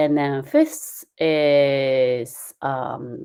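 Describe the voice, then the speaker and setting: In a very clean recording with a silent background, a woman speaks with a Japanese accent. Her pitch is very deep and low, her intonation fairly even, and her tone dark and mellow. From Japan, Kyushu (Usuki). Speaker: calligraphy instructor. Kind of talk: lecture. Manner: halting, many fillers.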